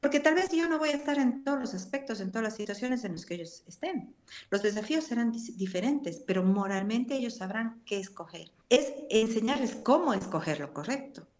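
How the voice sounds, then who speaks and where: Her voice fairly high, a woman talks at a fairly quick pace with very wide pitch swings. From Ecuador, Cuenca. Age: 60s. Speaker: pastor. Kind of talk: interview.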